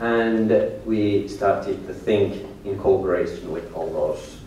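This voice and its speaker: Noticeable background noise and audible room echo in a recording of a male speaker. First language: Finnish. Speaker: tour guide and business owner. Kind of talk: lecture. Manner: halting.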